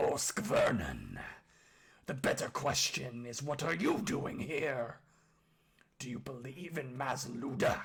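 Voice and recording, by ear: A put-on character voice, gruff, husky and growling with vocal fry, moves slowly through big pitch swings in a fairly bright tone. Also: man, medium pitch for a man.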